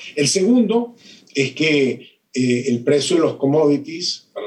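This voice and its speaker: The pace is medium. A man's pitch moves up and down in an ordinary way. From Venezuela. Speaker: economics professor. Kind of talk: interview. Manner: hesitant, many fillers.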